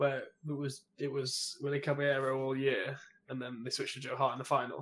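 Somewhat breathy, a man talks at a very fast pace in a fairly high pitch. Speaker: podcast co-host. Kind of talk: casual chat. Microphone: comes across quiet.

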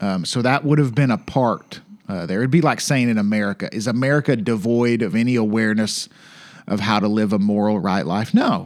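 A man with a Southern US accent talks at a fairly quick pace in a playful tone. His pitch is medium with ordinary variation, and the recording is very clean with a silent background. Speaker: podcast co-host. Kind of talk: casual banter with Bible study. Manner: joking, playful.

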